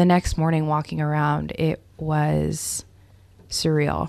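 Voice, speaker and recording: A woman talks very slowly in a very clean recording with a silent background. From Northern California, Davis. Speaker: communications staffer. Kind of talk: personal testimony.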